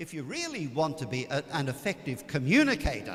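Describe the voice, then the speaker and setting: With a fairly high pitch, a man talks at a fairly slow pace. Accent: Australian. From Australia. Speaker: priest. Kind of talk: retreat talk. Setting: church.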